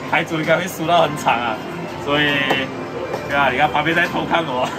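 Clear music sits in the background. A man talks at a fairly quick pace. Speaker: claw machine vlogger. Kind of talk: casual vlog chat. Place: shop.

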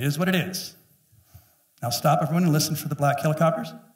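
A man speaks with vocal fry and ordinary pitch variation. The room echo is audible, though the background is quiet. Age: 50s. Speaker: pastor. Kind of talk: sermon. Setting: church. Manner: animated. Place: church. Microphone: headset.

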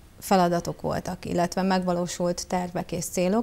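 Dark, mellow tone from a woman at a medium pitch. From southern Hungary, Bács-Kiskun (Baja, Bácsalmás); southern Hungary. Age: 40s. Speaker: local council candidate, public finance director; council candidate. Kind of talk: campaign self-presentation. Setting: TV studio. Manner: formal, prepared speech. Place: studio.

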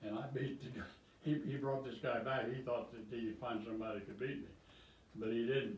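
Man's voice with fairly even intonation, audible room echo, and light background noise. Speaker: retired great-grandfather. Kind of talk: casual chat. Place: home room.

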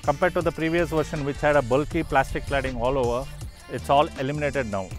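Over faint music in the background, a man talks at a fairly quick pace with ordinary pitch variation in a dry sound with no echo. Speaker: car owner reviewer. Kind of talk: car review walkaround. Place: open country.

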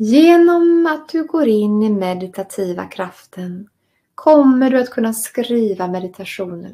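A somewhat breathy, dark and mellow voice with a calm, soothing tone moves at a fairly slow pace. Its pitch swings very widely, and the recording is very clean with a silent background. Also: woman, fairly high pitch for a woman. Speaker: meditation and writing course teacher. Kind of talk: guided meditation and lecture.

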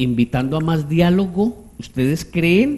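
A dark, mellow tone at a very slow pace, with ordinary pitch variation. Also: man. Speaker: TV talk show host. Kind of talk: political talk show discussion. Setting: studio. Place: studio. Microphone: headset.

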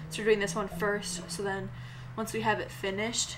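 A woman talks while music plays in the background. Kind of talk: tutorial. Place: street.

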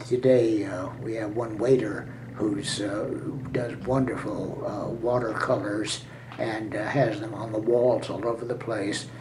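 Against noticeable background noise, a man speaks at a fairly slow pace in a monotone, flat intonation. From San Francisco. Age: 80s+. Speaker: centenarian. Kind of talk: interview answer. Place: home room. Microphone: webcam.

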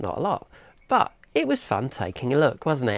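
A woman's voice with vocal fry and very wide pitch swings, at a moderate pace, in a dry sound with no echo against a quiet background. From UK. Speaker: electronics hobbyist YouTuber. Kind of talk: tutorial. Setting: workshop bench. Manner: casual, conversational. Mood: cheerful, chatty. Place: workshop. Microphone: lapel.

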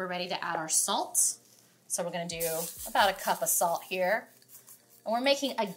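At a moderate pace, a woman speaks with ordinary variation in pitch. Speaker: home cook host. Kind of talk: cooking tutorial. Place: kitchen.

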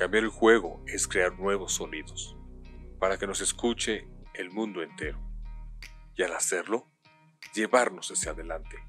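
A man at a fairly slow pace, with long, frequent pauses and music in the background. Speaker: voice actor. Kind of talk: TV commercial read.

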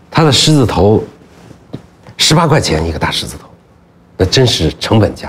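Loudness rises and falls in big swings as a man talks with very wide pitch swings. Light background noise can be heard. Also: moderate pace. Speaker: documentary filmmaker. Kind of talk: casual chat. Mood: relaxed, amused storytelling. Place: studio. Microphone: lapel.

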